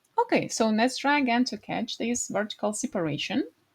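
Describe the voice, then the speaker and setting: With a non-native accent, a woman talks at a moderate pace in a high pitch with lively intonation. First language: not English. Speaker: design tutorial creator. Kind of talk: screen-recorded tutorial. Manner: halting, with fillers.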